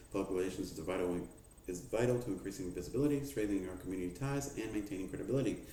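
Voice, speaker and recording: A man talks at a very fast pace with lively intonation and a fairly low pitch. Audible room echo surrounds his voice. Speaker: student presenting a mock HR manager briefing. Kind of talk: mock business presentation.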